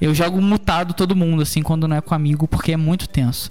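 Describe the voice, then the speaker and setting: At a fairly quick pace, a man with a fairly high pitch has an unremarkable speaking voice. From Rio de Janeiro, Brazil. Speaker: podcast host. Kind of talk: casual interview.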